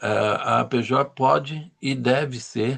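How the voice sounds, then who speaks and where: A man of medium pitch shows vocal fry along with ordinary pitch variation. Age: 70s. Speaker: journalist, lecturer. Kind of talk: lecture.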